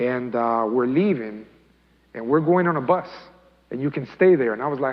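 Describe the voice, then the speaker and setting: With a Spanish accent, a man talks at a fairly quick pace in a medium pitch, his intonation lively and the room echo audible. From Colombia, raised in US from age eight. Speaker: imam. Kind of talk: talk to youth, personal testimony. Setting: mosque, youth audience. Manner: casual, conversational.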